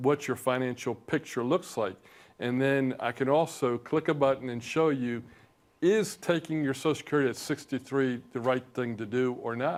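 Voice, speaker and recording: A man has an ordinary speaking voice with medium pitch and ordinary pitch variation. He keeps a moderate pace on a very clean recording with a silent background. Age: 60s. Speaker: financial advisor, firm founder. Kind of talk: TV interview.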